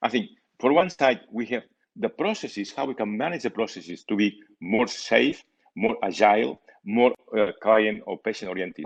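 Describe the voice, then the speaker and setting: Lively intonation marks this man's medium-pitched voice. He keeps a moderate pace. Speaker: conference speaker. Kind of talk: conference presentation. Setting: online video conference. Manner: halting.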